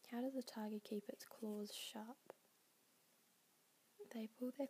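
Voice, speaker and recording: Someone whispers, soft-spoken, at a fairly slow pace. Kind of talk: ASMR ramble. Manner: whispery, soft-spoken.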